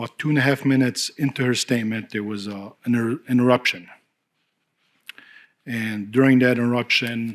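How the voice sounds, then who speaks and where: A man speaks at a medium pitch in a monotone, flat intonation. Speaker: school board trustee. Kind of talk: public meeting remarks. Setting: board meeting room with interpreters. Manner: deliberately slow.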